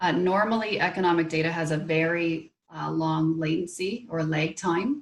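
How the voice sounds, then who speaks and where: With a Canadian accent, a woman in a plain, everyday voice speaks at a moderate pace with a fairly low pitch, ordinary pitch variation, and hardly any pauses. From Canada. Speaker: local government economic development manager. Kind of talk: presentation.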